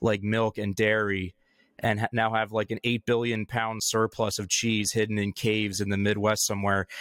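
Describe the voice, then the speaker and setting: The sound is dry and close with no echo. A man with an American accent talks at a moderate pace and medium pitch. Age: 30s. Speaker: podcast co-host. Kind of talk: casual chat. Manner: halting.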